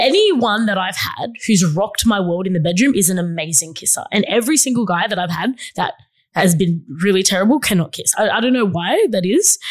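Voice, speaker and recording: With hardly any pauses, a woman talks in a somewhat breathy, medium-pitched voice full of lively intonation. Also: fairly quick pace. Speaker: podcast co-host. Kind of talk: casual chat.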